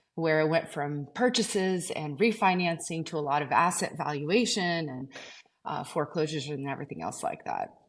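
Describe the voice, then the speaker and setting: At a moderate pace and with ordinary pitch variation, the speaker talks with a slight Portuguese accent against a quiet background. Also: woman, fairly low pitch for a woman. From Azores, Portugal. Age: 40s. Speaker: real estate agent. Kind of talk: podcast interview.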